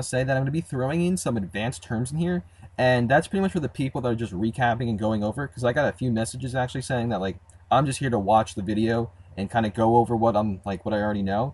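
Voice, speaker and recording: Speaking very fast, a man with a medium pitch sounds somewhat breathy and uses lively intonation. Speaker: programming tutorial creator. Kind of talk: tutorial. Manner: casual, many fillers.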